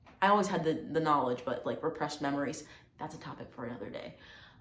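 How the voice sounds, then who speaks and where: With audible room echo, a woman with an American accent speaks in a fairly low pitch. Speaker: video blogger. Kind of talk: personal testimony vlog. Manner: casual, hesitant with fillers.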